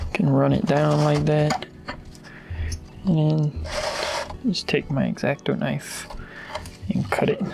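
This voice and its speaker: A soft-spoken voice talks at a very slow pace over noticeable background noise. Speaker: RC hobby YouTuber. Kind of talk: tutorial.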